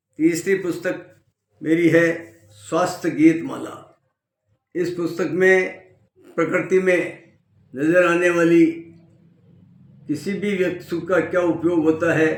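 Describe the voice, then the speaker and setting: A man talks in a high pitch with monotone, flat intonation and long, frequent pauses. Room echo is audible. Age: 70s. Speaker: lawyer and health book author. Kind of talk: self-introduction and book promotion. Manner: formal.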